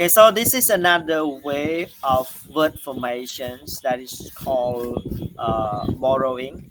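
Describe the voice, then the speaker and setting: A man with a Cambodian accent at a very slow pace, medium in pitch, ordinary pitch variation, hardly any pauses, noticeable background noise. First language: Khmer. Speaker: university lecturer. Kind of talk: lecture. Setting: online class recording. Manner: halting, many fillers and repetitions.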